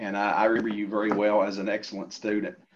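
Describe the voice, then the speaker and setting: A man's voice with an American accent. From US South, rural Appalachia, Pike County, Kentucky. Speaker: professor. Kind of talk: interview. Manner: halting, many fillers.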